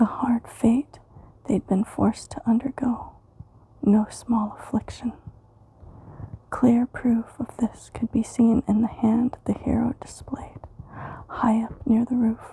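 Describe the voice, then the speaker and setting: A soft-spoken, whispering woman at a very slow pace, long frequent pauses, dry close sound with no echo, and noticeable background noise. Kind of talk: asmr poetry reading for sleep. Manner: whispered, soft-spoken.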